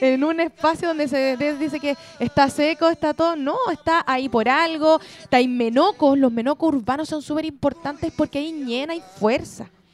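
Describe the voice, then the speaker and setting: A woman with a Chilean accent talks at a moderate pace in a high pitch, with ordinary pitch variation. The sound is dry and close with no echo, though noticeable background noise is present. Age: 20s. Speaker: early childhood educator. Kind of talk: casual chat.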